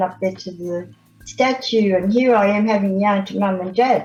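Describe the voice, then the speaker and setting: A woman speaks at a moderate pace in a medium pitch. Music plays in the background. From Australia, Victoria (Melbourne area). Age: 70s. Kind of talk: radio interview. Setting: radio studio, live.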